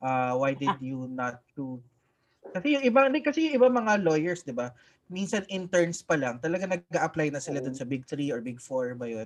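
A man with a fairly high pitch and lively intonation talks at a moderate pace in an unremarkable speaking voice. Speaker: podcast co-host and lawyer. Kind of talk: casual chat. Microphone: new mic.

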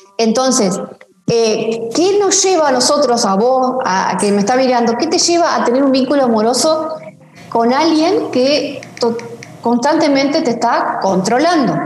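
Over noticeable background noise and audible room echo, a woman with a high pitch speaks fairly slowly, her loudness very even and her intonation lively. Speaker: pastor working in violence prevention. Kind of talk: online interview talk. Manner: animated.

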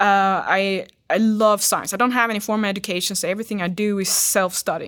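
Very fast, monotone speech from a medium-pitched woman with a Swedish accent, flat in intonation, on a very clean recording with a silent background. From Sweden. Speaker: fitness model. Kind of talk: casual interview.

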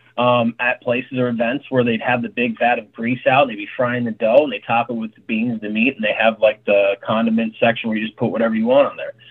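A very fast, American accent with hardly any pauses, monotone, flat intonation, and noticeable background noise. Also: man, medium pitch for a man. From Tucson, Arizona. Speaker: chef and restaurant owner. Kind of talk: casual chat.

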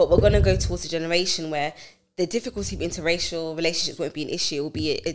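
A woman speaks in a British accent. Her pace is very fast. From UK, of Nigerian heritage. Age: 20s. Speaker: cloud engineering manager. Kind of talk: casual chat.

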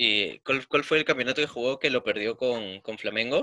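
His pitch sits at a medium level. The man's pitch variation is ordinary. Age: 20s. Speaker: football podcast co-host. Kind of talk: casual chat.

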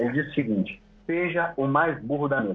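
Noticeable background noise sits under a man's fairly high voice and lively intonation. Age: 30s. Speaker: hypnotherapist. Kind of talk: interview.

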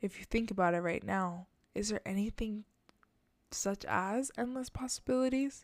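A plain, everyday voice from a woman, fairly high in pitch, at a moderate pace with ordinary pitch variation and very even loudness. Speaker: spiritual guide podcaster. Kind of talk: guided meditation. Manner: gentle, inviting, hypnotic.

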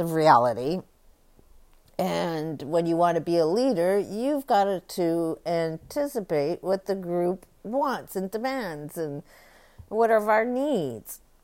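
The pitch swings very widely at a fairly slow pace. The recording is very clean, with a silent background. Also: woman. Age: 60s. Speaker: podcast host. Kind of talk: solo monologue commentary.

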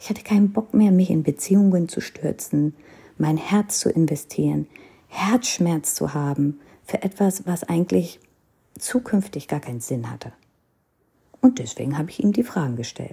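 A woman with an Indian accent speaks at a moderate pace in a fairly low, dark, mellow, somewhat breathy voice, with very wide pitch swings and big swings in loudness. Long, frequent pauses break up her speech, and the recording is very clean with a silent background. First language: Hindi (speaking German). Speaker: podcaster. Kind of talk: personal storytelling.

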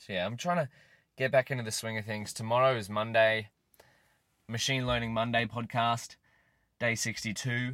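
A man's bright, sharp voice with long, frequent pauses, in a very clean recording with a silent background. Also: medium pitch for a man, fairly even intonation. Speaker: podcast host. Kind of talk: casual solo vlog-style talk. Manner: fast talker.

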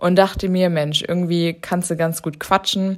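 A woman is speaking. She keeps a moderate pace. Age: 20s. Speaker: podcast host, fitness trainer. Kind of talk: casual solo introduction. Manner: spontaneous, chatty with slips.

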